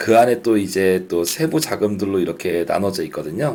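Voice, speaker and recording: The dark, mellow voice moves at a moderate pace while its pitch swings very widely. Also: man. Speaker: startup funding instructor. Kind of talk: lecture.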